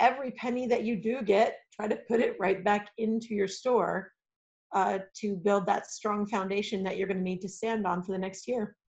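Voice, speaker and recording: A woman's medium-pitched voice moves at a moderate pace, its intonation monotone and flat. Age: 40s. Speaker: game store owner. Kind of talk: casual chat.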